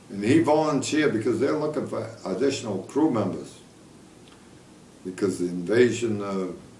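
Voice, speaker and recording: A man's medium-pitched voice with lively intonation, a moderate pace, long and frequent pauses, and audible room echo. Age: 80s+. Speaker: war veteran. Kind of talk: casual chat. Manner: halting.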